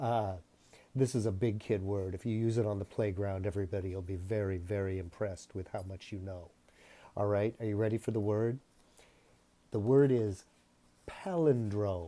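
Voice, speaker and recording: On a very clean recording with a silent background, a man with a dark, mellow tone and fairly low pitch speaks with fairly even intonation and long, frequent pauses. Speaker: teacher. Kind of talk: lesson for children. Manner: slow, spelling out sounds.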